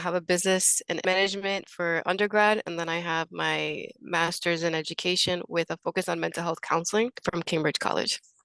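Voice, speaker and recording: A woman with an American accent talks at a fairly quick pace, her fairly low pitch carrying a bright, sharp tone and fairly even intonation. The sound is dry and close with no echo, against a quiet background. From Worcester, Massachusetts. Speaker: patient support manager. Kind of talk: panel introduction.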